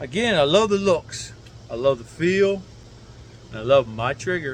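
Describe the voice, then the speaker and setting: A man with a fairly high pitch swings very widely in pitch at a moderate pace, the sound dry with no echo and light background noise. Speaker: gun reviewer, military veteran; gun owner reviewer. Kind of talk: casual unscripted rant. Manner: slurred speech; rambling, unrehearsed. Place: garden.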